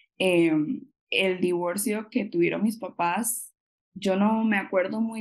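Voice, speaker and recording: A woman with a Costa Rican accent speaks at a medium pitch with ordinary pitch variation. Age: 20s. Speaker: occupational therapy graduate. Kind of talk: interview conversation.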